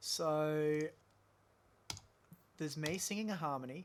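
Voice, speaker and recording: Speaking very slowly, a man keeps a fairly high pitch with ordinary pitch variation. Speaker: audio engineer. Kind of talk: tutorial. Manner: casual.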